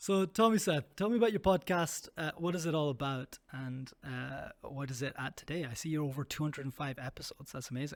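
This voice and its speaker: A man with a Scottish accent speaks at a fairly quick pace in a fairly high pitch, using ordinary pitch variation and hardly any pauses. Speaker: podcast host. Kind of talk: casual interview.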